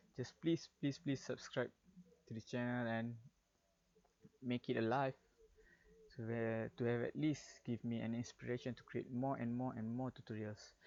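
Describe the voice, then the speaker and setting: A man with a Malaysian accent, medium pitch and fairly even intonation, at a moderate pace with long, frequent pauses. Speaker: game developer. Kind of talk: tutorial. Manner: halting.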